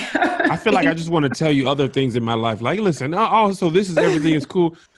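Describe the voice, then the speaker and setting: Over noticeable background noise, a man speaks at a very fast pace in an animated tone. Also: fairly high pitch for a man. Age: 30s. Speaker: podcast co-host. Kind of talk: casual chat.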